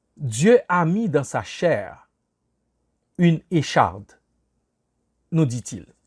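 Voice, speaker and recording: A man's high-pitched voice with lively intonation, in a dry, close sound with no echo. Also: very clean recording, silent background. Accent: Haitian. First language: Haitian Creole (speaking French). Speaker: pastor. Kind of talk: sermon.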